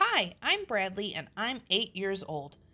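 What you hear is a natural reading voice.

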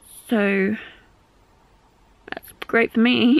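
A woman's tired tone in a dry sound with no echo. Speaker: vlogger. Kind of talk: casual vlog chat. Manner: weak, tired voice of a sick person. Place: home room. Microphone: phone near.

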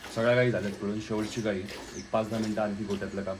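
Over audible room echo, a man's somewhat breathy, fairly low voice holds a monotone, flat intonation. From Maharashtra, Alandi near Pune. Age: 20s. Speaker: dairy farmer and vlogger. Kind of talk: motivational vlog.

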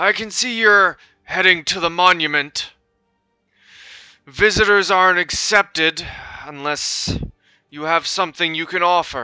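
A man's put-on, high-pitched character voice at a moderate pace, with long, frequent pauses. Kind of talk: game master NPC voice, close to own voice. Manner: stern, curt, threatening.

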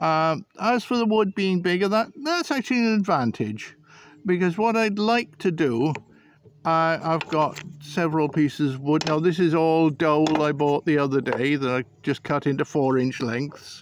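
Moderate-paced male speech, a dry, echo-free sound, and a little background noise. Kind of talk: tutorial. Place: garden. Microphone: phone near.

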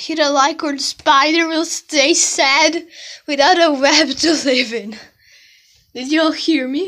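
A woman's high, bright, sharp voice in an American accent, at a fairly slow pace with fairly even intonation. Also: quiet background. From outside the US. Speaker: vlogger. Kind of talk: casual vlog. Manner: halting. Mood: playful, joking. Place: home room. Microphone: phone near.

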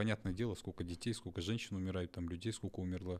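A man speaks with ordinary pitch variation. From Kazakhstan. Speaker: interviewer. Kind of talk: interview. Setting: studio. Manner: halting. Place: studio. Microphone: studio mic.

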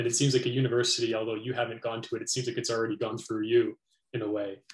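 Talking at a very fast pace, a man with a Canadian accent sounds somewhat breathy, with audible room echo around him. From Canada. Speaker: philosophy interviewer, educator. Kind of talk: interview. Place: home room.

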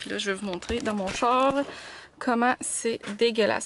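With a Quebec accent, a woman talks with ordinary pitch variation in a dry sound with no echo, light background noise behind her. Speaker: vlogger and mother; vlogger. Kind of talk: casual vlog talk to camera.

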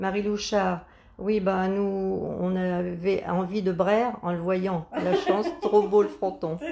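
A woman at medium pitch with monotone, flat intonation and a very slow pace, over light background noise. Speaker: grandmother reading live comments. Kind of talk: reading out viewer comments. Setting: Facebook live video, behind the camera. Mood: warm, friendly. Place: workshop.

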